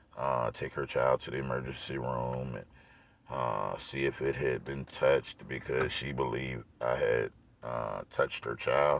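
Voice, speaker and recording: A man speaks at a fairly slow pace in a very deep, low pitch. There is noticeable background noise. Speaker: vlogger. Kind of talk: casual vlog monologue. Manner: filler-heavy, repeats 'you know what I'm saying'; animated.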